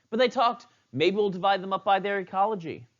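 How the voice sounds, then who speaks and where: The man talks at a fairly quick pace. His tone is animated. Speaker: biology teacher. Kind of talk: lecture. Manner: fast.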